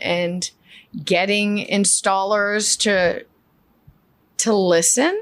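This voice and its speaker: A woman with a New York accent speaks at a fairly high pitch. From Queens, New York. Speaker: flooring business owner. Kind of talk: casual chat.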